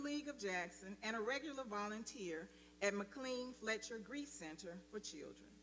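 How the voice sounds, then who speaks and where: With an American accent, a woman speaks at a moderate pace and a fairly high pitch, her intonation lively and her tone bright and sharp, amid audible room echo. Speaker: speaker's mother. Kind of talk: formal speaker introduction. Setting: church sanctuary.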